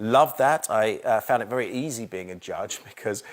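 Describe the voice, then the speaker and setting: A man with a southern English accent speaks with ordinary pitch variation. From England (London suburbs). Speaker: TV chef and shopping channel host. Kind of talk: interview and studio tour. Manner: conversational.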